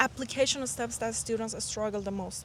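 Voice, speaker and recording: A woman speaks with a non-native accent. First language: not English. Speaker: dental student and admissions mentor. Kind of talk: casual interview.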